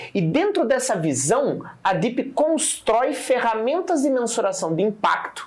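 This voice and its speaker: Over noticeable background noise, the speech runs at a fairly slow pace with hardly any pauses, very wide pitch swings and very even loudness. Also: man, extremely high pitch for a man. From Paraná interior, Brazil. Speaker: startup founder. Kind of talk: interview.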